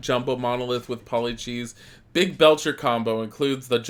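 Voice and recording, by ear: Someone reads aloud in a natural voice. Their intonation is fairly even.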